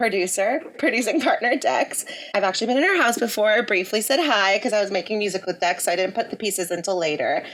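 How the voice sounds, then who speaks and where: Over noticeable background noise, a fairly high-pitched woman rattles on at a very fast pace with hardly any pauses and lively intonation. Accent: American. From US (grew up here), born in India. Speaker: podcast host. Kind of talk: podcast interview. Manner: animated.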